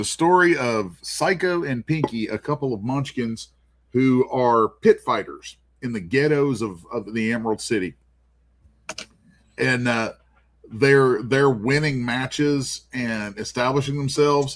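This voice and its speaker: A man speaks at a fairly slow pace. His normal speaking voice sits at a medium pitch. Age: 50s. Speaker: comic artist. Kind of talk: casual chat.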